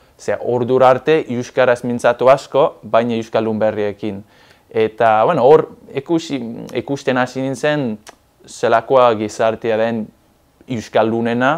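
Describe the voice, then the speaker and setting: With fairly even intonation, a man talks while the background stays quiet. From southwest England. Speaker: Basque language learner; interviewee. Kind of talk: interview. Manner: halting. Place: studio. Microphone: lapel.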